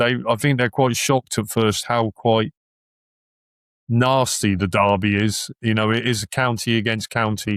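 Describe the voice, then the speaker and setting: In a Suffolk accent, a man of medium pitch speaks at a moderate pace with fairly even intonation and very even loudness, the sound dry and close with no echo on a very clean recording with a silent background. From Suffolk, England (Ipswich). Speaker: football fan guest. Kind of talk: casual chat. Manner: halting.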